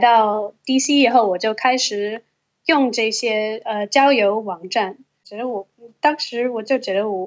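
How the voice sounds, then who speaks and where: A woman's fairly high voice at a fairly slow pace, with ordinary pitch variation. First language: English (speaking Chinese). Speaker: Chinese-English translator. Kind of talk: casual chat.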